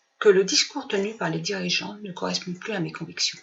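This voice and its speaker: A woman at a moderate pace. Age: 60s. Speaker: retired political activist. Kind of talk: prepared personal statement.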